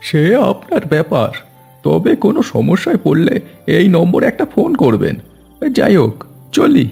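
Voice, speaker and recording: A man does a cartoonish character voice at a high pitch. He keeps a moderate pace, with faint music in the background. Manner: brusque, grumbling.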